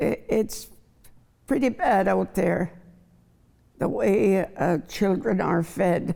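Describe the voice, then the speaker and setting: Speaking very slowly with long, frequent pauses, a woman with a dark, mellow tone and vocal fry holds a medium pitch, ordinary pitch movement and very even loudness. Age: 80s+. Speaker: chef. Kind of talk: panel discussion.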